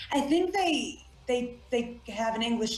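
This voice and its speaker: With noticeable background noise behind her, a woman speaks at a moderate pace with lively intonation. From South Africa. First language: Afrikaans. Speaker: actress. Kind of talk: interview.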